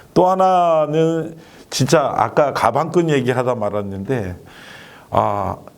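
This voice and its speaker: The voice moves at a very slow pace, its pitch swinging very widely. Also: man, fairly high pitch for a man. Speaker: resettlement center director. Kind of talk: talk show guest discussion.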